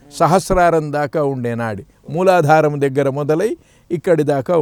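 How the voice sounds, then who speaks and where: A man's fairly high voice with lively intonation, a normal speaking voice. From Andhra Pradesh, Prakasam district. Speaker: spiritual teacher. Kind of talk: interview.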